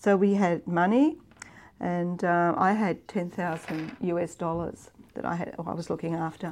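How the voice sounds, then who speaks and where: A woman speaks with an Australian accent. Her fairly low voice keeps a fairly even intonation. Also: moderate pace. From Victoria, Australia. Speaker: international development executive. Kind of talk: interview storytelling. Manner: halting, many fillers.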